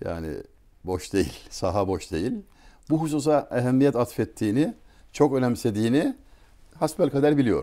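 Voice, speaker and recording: A man at a moderate pace, his pitch swinging very widely, with vocal fry, a dark, mellow tone, long and frequent pauses, and a quiet background. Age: 60s. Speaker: writer and speaker; speaker. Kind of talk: talk; conversational talk, storytelling. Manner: formal. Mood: warm, reflective. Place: home room. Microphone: lapel.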